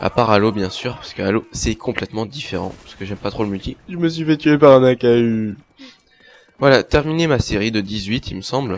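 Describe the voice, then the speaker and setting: Speaking at a fairly quick pace, a man of medium pitch shows ordinary pitch variation and big swings in loudness. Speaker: gaming youtuber. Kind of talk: gameplay commentary. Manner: animated.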